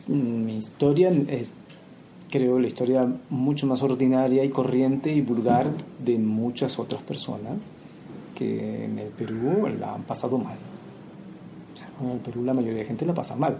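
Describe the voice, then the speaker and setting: At a fairly slow pace, a man with a medium-pitched voice and ordinary pitch variation takes long, frequent pauses. Noticeable background noise and audible room echo are present. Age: 40s. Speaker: historian and poet. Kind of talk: interview.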